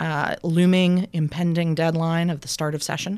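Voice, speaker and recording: A normal speaking voice from a woman, fairly low in pitch, at a moderate pace over a quiet background. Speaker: political fundraising consultant. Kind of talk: casual interview. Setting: studio.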